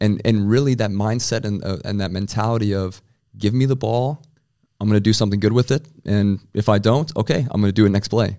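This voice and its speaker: In an American accent, a man speaks at a fairly quick pace with a fairly low, dark, mellow voice and fairly even intonation, recorded very cleanly over a silent background. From US Midwest, South Dakota. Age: 20s. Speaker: American football quarterback. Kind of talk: interview.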